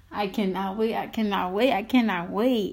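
This woman speaks at a medium pitch. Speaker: podcast host. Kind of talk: casual announcement. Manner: animated.

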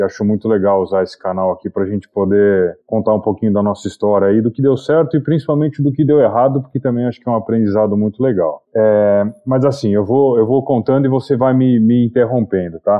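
This man has a plain, everyday voice at a medium pitch, speaking at a fairly quick pace with hardly any pauses and ordinary pitch variation. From Brazil, Itu (São Paulo state). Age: 40s. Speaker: entrepreneur and investor. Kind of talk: interview.

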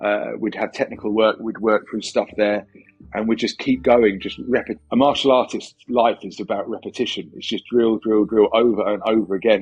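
The speaker is a man with an English accent. He talks at a moderate pace and a medium pitch. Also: fairly even intonation. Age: 40s. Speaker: philosophy lecturer and MMA coach. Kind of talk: casual interview. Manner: halting, with repeated words.

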